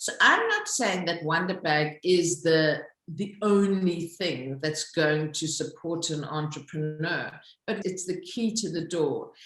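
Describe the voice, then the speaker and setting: A woman with a Zulu accent speaks at a fairly slow pace. Room echo is audible. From South Africa. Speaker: social entrepreneur, company founder. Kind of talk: interview.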